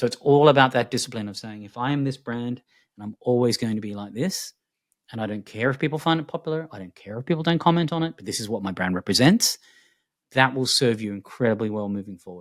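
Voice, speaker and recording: Very fast and full of lively intonation, a man with an Australian accent speaks with big swings in loudness, the sound dry and close with no echo. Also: medium pitch for a man. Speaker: futurist. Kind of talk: interview conversation. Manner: animated.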